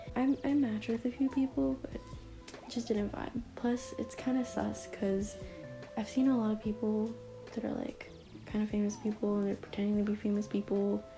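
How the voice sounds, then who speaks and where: A soft-spoken woman talks at a moderate pace. Music plays in the background. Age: young. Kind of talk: casual talk to camera. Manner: soft, quiet.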